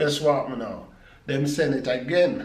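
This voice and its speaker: This is a man with a Jamaican accent. Noticeable background noise can be heard. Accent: Jamaican Patois. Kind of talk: casual vlog talk to camera.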